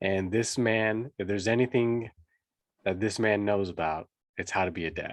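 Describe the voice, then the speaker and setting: A man speaks in a plain, everyday voice at a moderate pace, his fairly low pitch carried on fairly even intonation. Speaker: podcast host, fatherhood coach. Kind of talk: interview host talk.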